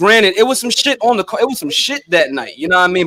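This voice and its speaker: A man's very fast delivery with lively intonation. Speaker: podcast host. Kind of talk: casual interview chat.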